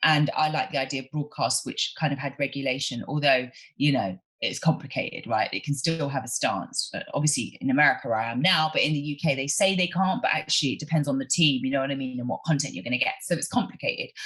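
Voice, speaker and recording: In a London accent, the speaker has an animated tone. The pace is very fast, with hardly any pauses. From South London (Brixton). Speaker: journalist and podcast host. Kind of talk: casual interview conversation. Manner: animated, fast, lots of fillers.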